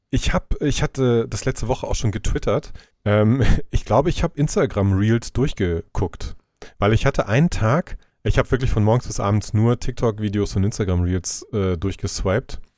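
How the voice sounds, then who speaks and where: Dark and mellow in tone, this voice moves at a moderate pace with lively intonation on a very clean recording with a silent background. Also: man. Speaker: podcast co-host. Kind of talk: casual chat.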